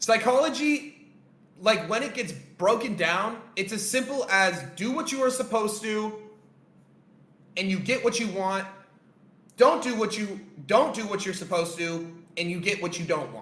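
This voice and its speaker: A man speaks loudly in a high pitch with an animated tone, ordinary pitch variation and a moderate pace, leaving long, frequent pauses. Audible room echo and noticeable background noise are present. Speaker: trading coach. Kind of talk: live-stream lesson.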